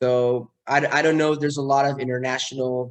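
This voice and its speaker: At a moderate pace, a man with a Mexican accent speaks in a flat monotone. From Mexico City. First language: Spanish. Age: 30s. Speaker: neurosurgeon. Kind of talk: talk to students. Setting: video call. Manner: hesitant, many fillers.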